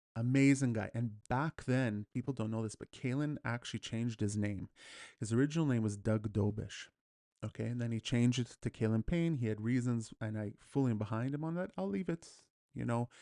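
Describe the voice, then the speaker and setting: With a Canadian accent and a dark, mellow tone, the speaker talks at a fairly quick pace with ordinary pitch variation, the sound dry and close with no echo against a quiet background. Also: man, medium pitch for a man. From Edmonton, Alberta, Canada. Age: 40s. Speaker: martial arts instructor. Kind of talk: memorial talk. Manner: casual, with many fillers.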